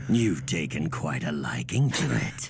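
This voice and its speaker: A man's cartoonish character voice, growling and very deep and low, at a moderate pace over clear background noise. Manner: laid-back, amused.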